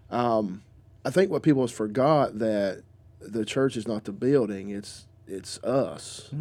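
A man with a Southern accent speaks at a fairly slow pace in a medium pitch, his tone dark and mellow. His loudness swings widely. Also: ordinary pitch variation. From US South, North Carolina. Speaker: pastor. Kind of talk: casual chat. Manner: halting.

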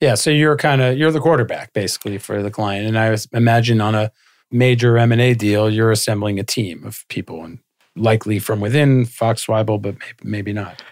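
Fairly quick speech from a man at a medium pitch, ordinary pitch variation, and big swings in loudness, on a very clean recording with a silent background. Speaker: podcast co-host, lawyer. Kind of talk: casual chat. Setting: studio. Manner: quiet.

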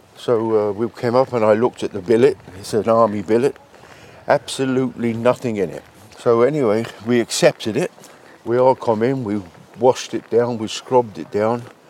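Over noticeable background noise, a man at medium pitch speaks at a moderate pace with fairly even intonation, in a dry, close sound with no echo. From London, England. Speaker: men's shed member. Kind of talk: casual interview chat. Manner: warm, chatty, happy.

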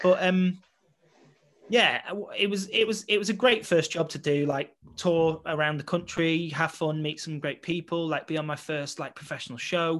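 Using ordinary pitch variation, a man speaks at a moderate pace in a high pitch. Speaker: West End actor and photographer. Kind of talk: casual interview chat, storytelling.

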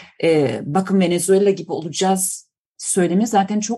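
A woman's dark, mellow tone comes through somewhat breathy at a moderate pace. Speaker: political science professor. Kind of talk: interview. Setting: remote call. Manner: halting, many fillers.

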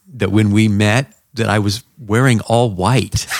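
A man talks at a fairly low pitch with ordinary pitch variation. He has a plain, everyday voice. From Southern California. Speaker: pastor. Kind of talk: testimony.

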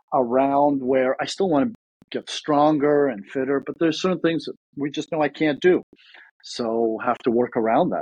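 A man with a plain, everyday voice, fairly high in pitch, at a moderate pace with ordinary pitch variation. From Ukraine, then Toronto, Canada. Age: 30s. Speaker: former pro tennis player, real estate agent. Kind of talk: casual interview chat.

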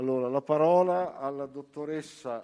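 A dark, mellow tone with fairly even intonation over a quiet background. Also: man. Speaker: association official and event organizer. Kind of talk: conference speech. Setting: conference hall.

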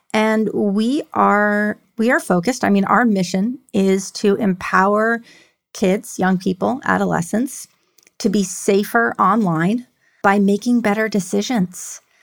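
In an unremarkable speaking voice, a woman with an American accent talks at a fairly slow pace, her loudness very even and her pitch variation ordinary. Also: medium pitch for a woman. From New York City. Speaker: tech executive with a PhD in leadership. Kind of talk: interview about personal mental health story. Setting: remote call.

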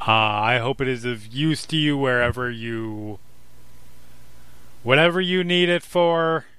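A booming put-on character voice from a man at medium pitch, fairly slow, with long, frequent pauses

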